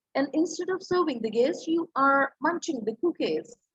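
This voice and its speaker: A woman's high voice in a Punjabi accent, lively in intonation, at a moderate pace, dry and close with no echo. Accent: Indian English, Punjabi. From India, Punjab. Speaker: English professor, communication trainer. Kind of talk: lecture.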